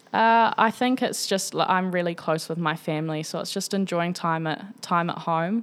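A woman with a New Zealand accent, medium in pitch, at a moderate pace with fairly even intonation, on a very clean recording with a silent background. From New Zealand, Tawa (Wellington). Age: 20s. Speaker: professional cricketer. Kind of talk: casual chat. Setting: in person.

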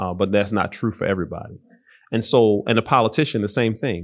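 Against a quiet background, a man with an American accent uses a plain, everyday voice at a fairly low pitch, speaking at a fairly quick pace with ordinary pitch variation. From Baltimore, Maryland. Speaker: pastor and Marine veteran. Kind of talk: interview conversation.

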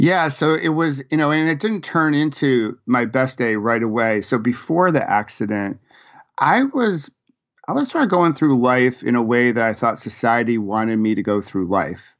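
A man with an American accent speaks in a plain, everyday voice at a medium pitch and moderate pace. His intonation is lively and his loudness very even. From western New York (Rochester). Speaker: executive business coach and author. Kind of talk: interview.

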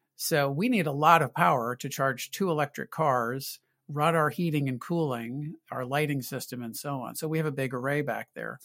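Speaking at a moderate pace with hardly any pauses, a man with a fairly high pitch has a bright, sharp tone and ordinary pitch variation, recorded very cleanly against a silent background with a dry, close sound and no echo. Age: 60s. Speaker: healthcare climate consultant. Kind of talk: interview.

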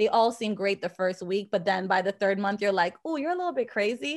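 A woman at a fairly quick pace, medium in pitch, against a quiet background. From Jamaica, raised in Boston. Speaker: fashion anthropologist and professor. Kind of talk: casual interview chat.

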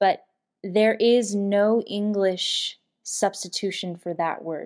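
A woman speaks at a medium pitch with fairly even intonation over a quiet background. It is a normal speaking voice. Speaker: Air Force veteran and advocacy founder. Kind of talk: interview.

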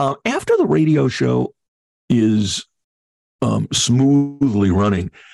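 In a dry, close recording with no echo, a man with an American accent speaks at a very slow pace, leaving long, frequent pauses. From New York, Long Island. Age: 60s. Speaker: TV producer and voiceover artist. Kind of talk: interview.

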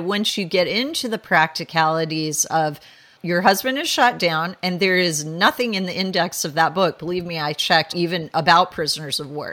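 A woman speaks in an unremarkable speaking voice at a fairly low pitch. Her pitch varies in an ordinary way, and her pace is moderate. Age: 50s. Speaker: historian and author. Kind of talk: interview.

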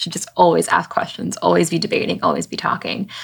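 A woman talks at a very fast pace with vocal fry. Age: 20s. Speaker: podcast host. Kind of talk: interview.

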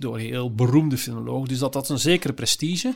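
The speaker here is a man at a medium pitch. He moves along at a moderate pace. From Flanders, Belgium. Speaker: psychiatrist and philosopher. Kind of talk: casual interview.

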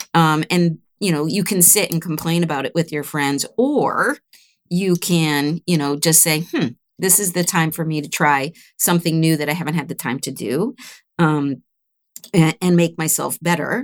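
Heard in a very clean recording with a silent background and a dry, close sound with no echo, a woman uses a normal speaking voice at a fairly low pitch, with ordinary pitch variation and a moderate pace. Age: 60s. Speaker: recruiter, business owner. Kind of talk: interview.

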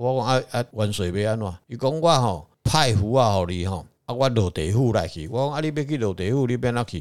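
Speaking at a fairly quick pace with hardly any pauses, a man with a medium-pitched voice uses lively intonation on a very clean recording with a silent background. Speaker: religious consultant on a podcast. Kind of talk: casual chat.

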